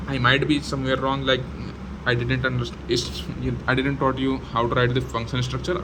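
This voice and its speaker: A man's moderate-paced speech carries audible room echo amid noticeable background noise. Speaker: programming tutor. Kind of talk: tutorial. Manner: halting, many fillers and restarts.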